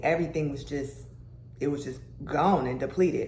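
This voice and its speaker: In a room with audible echo, a woman speaks at a fairly quick pace in a somewhat breathy voice with ordinary pitch variation. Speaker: lifestyle and health vlogger. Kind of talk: casual vlog talk. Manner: casual, with many fillers.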